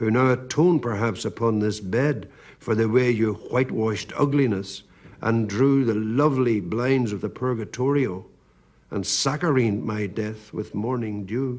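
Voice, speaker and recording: A man with a Northern Irish accent speaks at a moderate pace and medium pitch with ordinary pitch variation. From Northern Ireland. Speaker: poet. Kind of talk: poetry reading.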